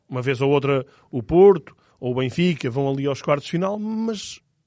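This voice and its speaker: Over a quiet background, a man with an unremarkable speaking voice talks at a moderate pace, his fairly high pitch carried by lively intonation. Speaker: football podcast co-host. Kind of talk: casual football analysis chat.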